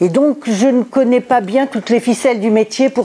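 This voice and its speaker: Noticeable background noise is heard. Over it, a woman talks. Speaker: sociologist giving a conference talk. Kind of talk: lecture. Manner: hesitant, many filler sounds.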